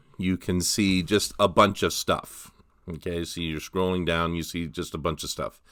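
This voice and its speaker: A man's voice comes through with a bright, sharp tone on a very clean recording with a silent background. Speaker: college English instructor. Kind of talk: tutorial. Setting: outdoors on a mountain. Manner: casual, hesitant with fillers; mumbling at times.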